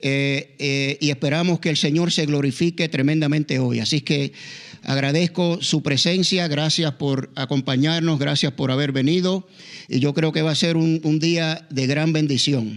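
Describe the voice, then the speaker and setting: Fairly slow, fairly even speech in a Puerto Rican accent, with very even loudness. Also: man, fairly high pitch for a man. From Puerto Rico. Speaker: pastor. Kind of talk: sermon. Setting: church. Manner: halting.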